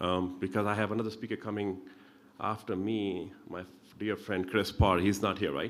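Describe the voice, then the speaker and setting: A man with an Indian accent, in audible room echo. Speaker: pulmonologist. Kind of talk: medical lecture. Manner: fast.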